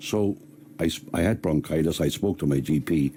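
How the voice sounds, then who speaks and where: A very deep, low male voice with a Tipperary accent, a dark, mellow tone, vocal fry and ordinary pitch variation. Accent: Irish, Tipperary. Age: 60s. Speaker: man facing eviction. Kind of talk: interview.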